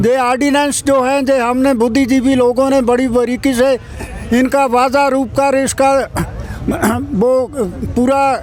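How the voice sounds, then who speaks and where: With music in the background, a man speaks at an extremely high pitch in a monotone, flat intonation. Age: 80s+. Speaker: farmer activist, retired teacher. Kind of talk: interview.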